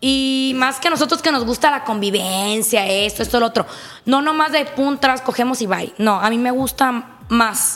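Her pitch is high, with ordinary variation and an animated tone. The woman speaks at a fairly slow pace. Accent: Mexican. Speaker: swinger guest. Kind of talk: casual chat.

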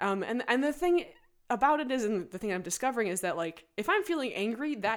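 A woman talks at a fairly quick pace in a high voice. Her pitch swings very widely. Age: 20s. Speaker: musician and barista. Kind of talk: casual interview conversation.

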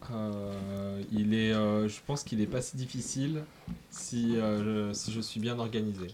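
Audible room echo surrounds a man speaking at a very slow pace, his fairly low voice dark and mellow in tone and his intonation fairly even. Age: 20s. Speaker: radio fundraising officer. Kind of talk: interview answering children's questions. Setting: radio studio. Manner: hesitant, many fillers.

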